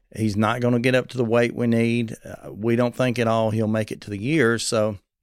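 In a Southern US accent, the speaker talks with monotone, flat intonation on a very clean recording with a silent background. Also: man. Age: 40s. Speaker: preacher and transplant advocate. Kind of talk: interview. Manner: youthful-sounding.

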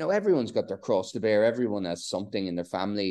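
A man talks in a Donegal Irish accent with a dark, mellow tone. The background is quiet. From northwest Ireland (Donegal, Bundoran). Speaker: author and surfer. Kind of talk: casual interview.

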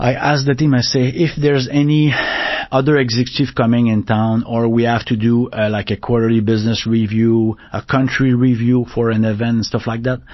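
Amid noticeable background noise, a man with a French Canadian accent speaks at a medium pitch and a fairly quick pace, with fairly even intonation and very even loudness. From Quebec, northern region. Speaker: technology executive. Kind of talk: interview. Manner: fast; halting.

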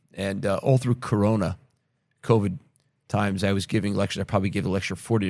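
A man speaks at a fairly low pitch. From United States. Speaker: podcast host and investor. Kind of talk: interview conversation.

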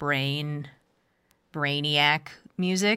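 Recorded very cleanly against a silent background, the voice has a bright, sharp tone and ordinary pitch variation. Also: woman. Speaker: public radio and podcast host. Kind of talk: interview. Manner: friendly, laughs often.

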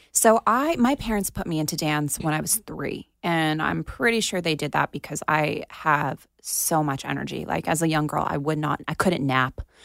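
A woman with an American accent talks at a moderate pace in a very deep, low pitch with vocal fry and ordinary pitch variation. The sound is dry and close, with no echo. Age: 30s. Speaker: actress. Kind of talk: casual interview. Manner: animated.

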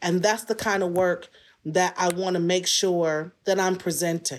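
She speaks at a fairly slow pace with an American accent, at a medium pitch. It is a plain, everyday voice on a very clean recording with a silent background. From Detroit, US. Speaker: writer and performer. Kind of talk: interview.

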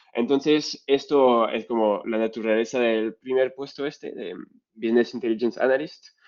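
With a strong French accent, a man talks at medium pitch and a moderate pace, keeping his intonation fairly even. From France. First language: French (speaking Spanish). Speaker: data science lead. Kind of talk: interview.

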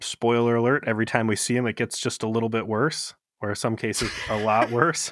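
Speaking in an Ohio accent, a man keeps a monotone, flat intonation. His medium-pitched voice moves at a fairly quick pace. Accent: Ohio, says fur for for. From US Midwest, Ohio. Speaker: podcast co-host. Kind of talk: casual chat.

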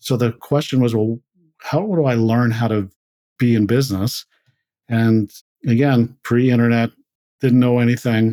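In a very clean recording with a silent background and a dry, close sound with no echo, a man with a Canadian Prairie accent speaks at a moderate pace with a medium pitch, a dark, mellow tone and fairly even intonation. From rural Manitoba, Canada. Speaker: tech company CEO and co-founder. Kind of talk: interview.

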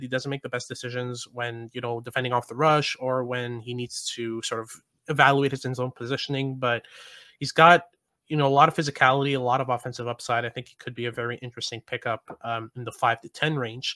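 On a very clean recording with a silent background, a man talks at a very fast pace in a bright, sharp tone, with fairly even intonation and big swings in loudness. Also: medium pitch for a man, dry, close sound with no echo. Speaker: prospect analyst and podcast host. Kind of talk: podcast hosting, analysis and interview.

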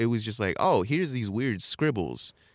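With an American accent, a man speaks at a fairly quick pace and fairly low pitch with lively intonation, on a very clean recording with a silent background. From California, San Bernardino. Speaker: culture journalist and hip hop researcher. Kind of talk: casual interview chat.

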